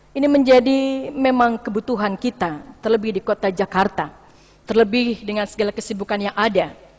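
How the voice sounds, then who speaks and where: A woman's fairly high voice at a moderate pace, lively in intonation, over noticeable background noise. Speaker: pastor. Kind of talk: sermon. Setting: church.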